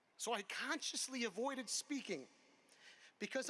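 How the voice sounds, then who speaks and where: Raising and projecting his voice, a man with an American accent speaks in an extremely high pitch with a bright, sharp tone, ordinary pitch variation, and a fairly quick pace. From Connecticut, US. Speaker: commencement speaker. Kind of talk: commencement speech. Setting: outdoor amphitheater with audience.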